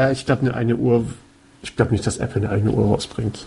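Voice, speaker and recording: The man speaks with ordinary pitch variation. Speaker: podcast co-host. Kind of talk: casual chat.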